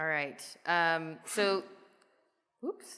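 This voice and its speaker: Here a woman talks with a Midwestern US accent. Her tone is bright and sharp. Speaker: software product manager. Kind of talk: conference presentation with live demo. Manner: casual, animated; halting, many fillers.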